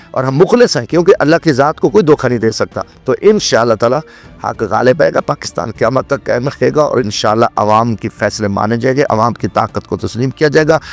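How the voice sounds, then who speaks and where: A man at a medium pitch speaks with lively intonation in a dry, close recording with no echo, music playing in the background. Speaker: politician, former national assembly member. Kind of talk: interview answer.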